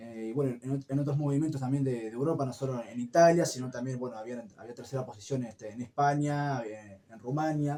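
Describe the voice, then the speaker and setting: A man with a dark, mellow tone talks at medium pitch with fairly even intonation. His pace is fairly quick, with hardly any pauses and big swings in loudness. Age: 20s. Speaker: activist of a cultural movement. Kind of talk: radio interview. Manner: hesitant, many fillers.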